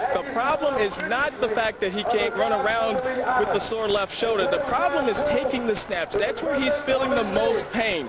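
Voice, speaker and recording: A man at an extremely high pitch with ordinary pitch variation, very even loudness and a moderate pace, over noticeable background noise. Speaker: sideline reporter. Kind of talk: live field report.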